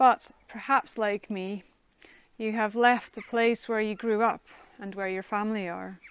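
At a fairly slow pace, a woman speaks at a fairly high pitch in a monotone, flat intonation, with big swings in loudness and a dry sound with no echo. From Netherlands. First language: Dutch. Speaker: minister. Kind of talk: sermon. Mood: calm, reflective. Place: garden. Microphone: lapel.

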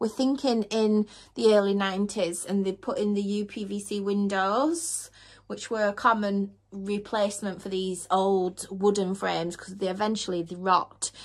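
A woman speaks at a medium pitch and a moderate pace. Her intonation stays fairly even.

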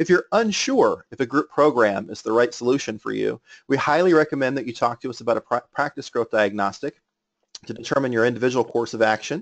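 The sound is dry and close with no echo as a man with an unremarkable speaking voice talks at a fairly quick pace, with medium pitch and ordinary pitch variation. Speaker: webinar organizer. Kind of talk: webinar introduction. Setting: webinar call.

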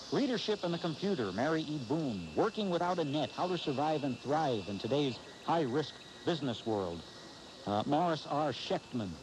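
Amid noticeable background noise, a man speaks at a moderate pace with very wide pitch swings. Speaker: talk radio host. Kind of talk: talk radio monologue. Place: studio.

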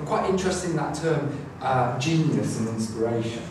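Clear background noise along with audible room echo. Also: man.

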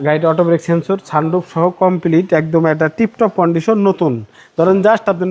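Through noticeable background noise comes a man speaking at a high pitch. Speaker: used car dealer. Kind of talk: sales pitch.

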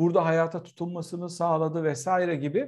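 Against a quiet background, a man's speech moves at a fairly quick pace. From Turkey. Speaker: political scientist and professor; guest. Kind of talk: casual chat. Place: home room. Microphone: video call.

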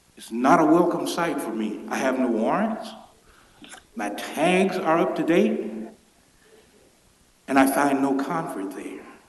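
At a fairly slow pace with long, frequent pauses, a man with a fairly high pitch makes very wide pitch swings and big swings in loudness, with audible room echo and noticeable background noise. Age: 60s. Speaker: public commenter. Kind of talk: public comment at council meeting. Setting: council chamber.

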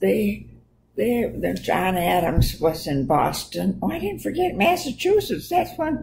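Noticeable background noise sits behind the recording. A woman speaks at a fairly slow pace. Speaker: storyteller on history. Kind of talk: casual talk about history. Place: home room. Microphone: webcam.

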